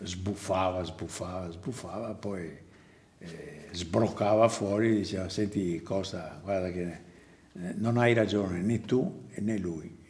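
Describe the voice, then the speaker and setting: A man talking at a fairly slow pace with ordinary pitch variation. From Venice, Italy. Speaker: theatre prompter. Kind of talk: interview answer.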